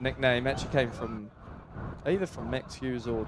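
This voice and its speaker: Noticeable background noise sits behind the recording. A man speaks at a medium pitch. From England, Yorkshire. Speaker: rugby player, guest commentator. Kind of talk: live sports commentary and chat.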